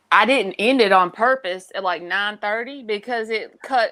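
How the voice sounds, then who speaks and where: This woman's voice sits fairly high, and her pitch moves in an ordinary way. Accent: Southern US. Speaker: tarot reader. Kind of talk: casual chat. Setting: live stream.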